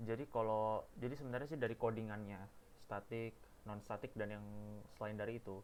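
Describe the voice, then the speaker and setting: Speaking in a monotone, flat intonation, a man moves at a fairly quick pace. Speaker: university student. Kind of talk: tutorial. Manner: halting. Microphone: too quiet, mic problem.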